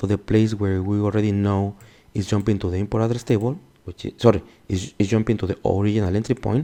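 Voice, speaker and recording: In a Mexican accent, a man speaks at a fairly low pitch with a dark, mellow tone against a quiet background. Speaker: security instructor. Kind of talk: tutorial. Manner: casual, self-correcting.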